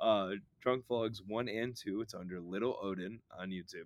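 A man with an American accent speaks at a moderate pace, with medium pitch, ordinary pitch variation and a plain, everyday voice. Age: 20s. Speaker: podcaster and record label member. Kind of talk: casual chat.

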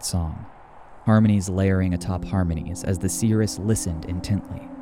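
A man with a very deep, low pitch speaks at a fairly quick pace in a solemn, dramatic tone. His intonation is fairly even, with noticeable background noise behind him. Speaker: narrator. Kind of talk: saga narration, scripted storytelling. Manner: solemn, measured, dramatic.

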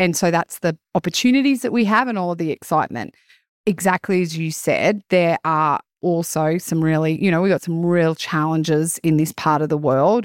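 An Australian accent from a woman with a fairly low pitch, ordinary pitch variation and a moderate pace, in a very clean recording with a silent background and a dry, close sound with no echo. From rural Queensland, Australia. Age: 40s. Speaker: rural business consultant. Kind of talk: casual interview.

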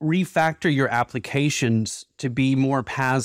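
On a very clean recording with a silent background and a dry, close sound with no echo, a man speaks in an unremarkable speaking voice, medium in pitch with ordinary pitch variation. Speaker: podcast host. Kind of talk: interview, conversational.

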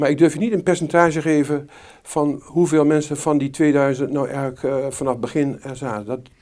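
A man speaks at a fairly quick pace in a fairly high pitch. His tone is dark and mellow, and his intonation stays fairly even. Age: 60s. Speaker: retired family doctor. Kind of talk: interview. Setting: doctor's practice.

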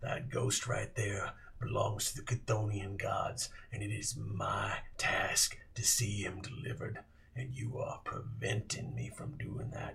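Over light background noise, a man does a put-on character voice at a medium pitch and a fairly slow pace. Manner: folksy, drawling, menacing.

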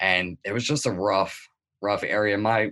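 Against a quiet background, a man with an American accent speaks at a moderate pace with fairly low pitch, ordinary pitch variation and a bright, sharp tone. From Delaware, US. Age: 30s. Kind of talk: interview.

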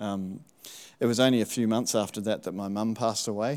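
A man with an Australian accent at a fairly quick pace, in a very clean recording with a silent background. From Tasmania, Australia. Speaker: church member. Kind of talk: testimony.

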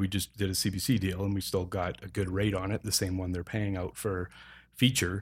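With a Canadian accent, a man offers an unremarkable speaking voice, fairly low in pitch with fairly even intonation, at a moderate pace on a very clean recording with a silent background. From Calgary, Alberta, Canada. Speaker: equipment rental company representative and film producer. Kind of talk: casual interview.

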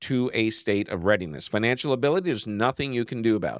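This is a normal speaking voice with lively intonation. The sound is dry and close with no echo, in a very clean recording with a silent background. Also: man. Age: 50s. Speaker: sales coach. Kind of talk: solo podcast talk on sales. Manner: conversational.

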